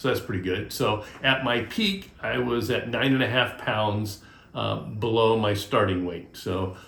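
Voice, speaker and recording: A man's fairly low voice amid noticeable background noise and audible room echo. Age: 60s. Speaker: DIY and vlog channel host. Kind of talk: casual vlog monologue. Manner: halting, many fillers.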